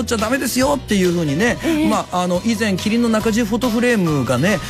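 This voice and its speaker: Clear music plays in the background as a man speaks with lively intonation. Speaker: radio host. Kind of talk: radio show reading listener messages. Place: studio.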